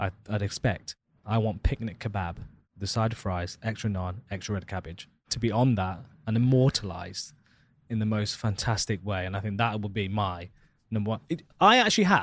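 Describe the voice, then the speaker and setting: Someone with an East Midlands accent talks at a moderate pace with fairly even intonation. The recording is very clean, with a silent background. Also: man, fairly low pitch for a man. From Leicester, England. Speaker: podcast host. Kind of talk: casual chat.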